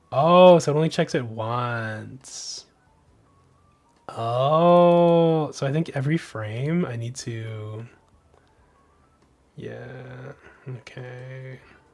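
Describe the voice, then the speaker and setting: The speaker has an American accent and talks at a very slow pace with long, frequent pauses. Music plays in the background. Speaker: game developer streamer. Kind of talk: live-stream coding commentary.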